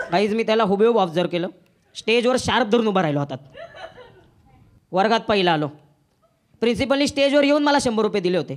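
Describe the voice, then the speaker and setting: A man's high pitch with lively intonation. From Pune. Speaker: stand-up comedian. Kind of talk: live stand-up comedy set. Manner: sarcastic, witty.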